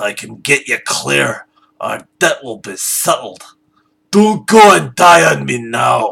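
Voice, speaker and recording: A man's raspy, gruff put-on character voice at a fairly slow pace. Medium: read story. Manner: gruff, grumbling.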